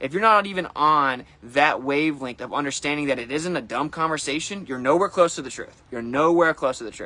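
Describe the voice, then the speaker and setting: A bright, sharp tone at a fairly quick pace with hardly any pauses. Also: man, fairly high pitch for a man, ordinary pitch variation. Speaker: flat earth streamer. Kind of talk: casual livestream monologue. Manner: fast; animated.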